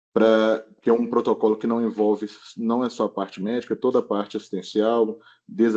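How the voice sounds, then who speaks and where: Dark, mellow tone in a monotone, flat delivery over a quiet background. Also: man. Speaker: emergency physician. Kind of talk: lecture.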